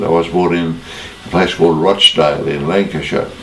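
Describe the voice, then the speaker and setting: Speaking in a very deep, low pitch, a man with an Australian accent is heard with audible room echo and noticeable background noise. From Australia, Sydney. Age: 90s. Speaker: former rugby player. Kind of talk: interview.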